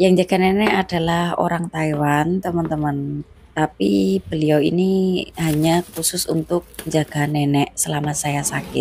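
A woman speaks at a fairly slow pace with a very deep, low pitch, ordinary pitch variation and hardly any pauses, over light background noise. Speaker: migrant domestic worker vlogger. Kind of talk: personal vlog narration. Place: home room. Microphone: phone near.

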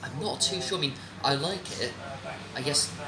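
Background noise is clearly audible. Over it, a man talks at a moderate speed. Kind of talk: interview answer. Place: cafe. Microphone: camera far.

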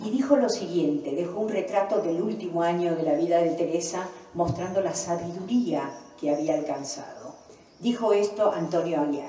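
Audible room echo surrounds a woman speaking at a moderate pace, fairly low in pitch with ordinary pitch variation. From Argentina. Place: hall.

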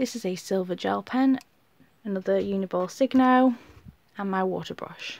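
Spoken at a moderate pace with a British accent, the voice shows ordinary pitch variation and long, frequent pauses. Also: woman, medium pitch for a woman. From UK. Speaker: YouTuber. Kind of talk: show-and-tell tutorial. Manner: casual, chatty with fillers.

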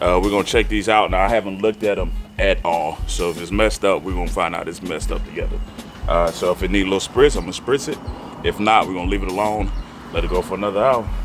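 Very fast speech with music in the background. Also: man. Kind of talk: tutorial. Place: street.

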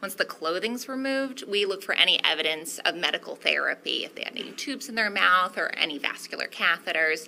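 Light background noise accompanies a woman talking at a fairly quick pace. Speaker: witness. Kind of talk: testimony answer. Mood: calm, explanatory, professional. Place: hall. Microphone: podium.

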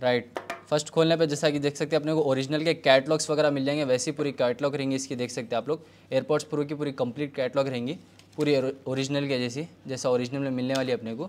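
A man speaks fairly quickly, his intonation fairly even. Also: fairly high pitch for a man. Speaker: vlogger reviewing gadgets. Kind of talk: product unboxing review. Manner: loud. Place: home room. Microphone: lapel.

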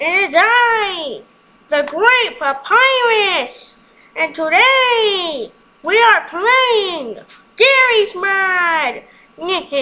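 This put-on character voice is squeaky and extremely high-pitched. It moves at a very slow pace. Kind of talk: comic overacting. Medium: game stream. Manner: loud, boastful, excitable.

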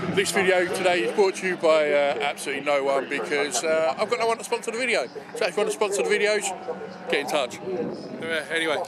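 Loud background noise fills this dry recording with no echo. A man talks at a very fast pace. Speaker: hobby vlogger. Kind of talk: casual vlog chat. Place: open country. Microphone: phone near.

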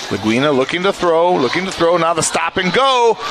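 Over noticeable background noise, a man with a high pitch uses a raised, projected voice and an animated, excited tone, his pitch swinging very widely. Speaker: football play-by-play announcer. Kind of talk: live sports commentary, play-by-play highlights call. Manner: animated, rapid-fire, excited, rising energy on touchdowns; loud, punchy, calling yardage in quick countdowns.

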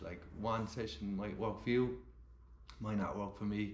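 Audible room echo and light background noise surround a man speaking at a fairly low pitch. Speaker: amateur runner vlogger. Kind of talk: casual vlog chat. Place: kitchen. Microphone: phone near.

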